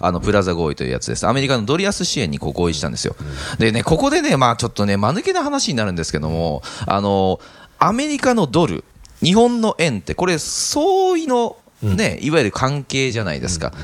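Noticeable background noise runs throughout. Over it, a man talks at a very fast pace. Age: 30s. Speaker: real estate investment podcast host. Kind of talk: casual explanatory chat. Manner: halting with many fillers.

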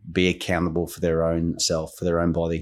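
In an Australian accent, a man with a very deep, low voice speaks at a fairly quick pace in a monotone, flat delivery, the recording very clean with a silent background. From Queensland, Australia (English-born). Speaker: football academy manager and coach. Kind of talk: interview.

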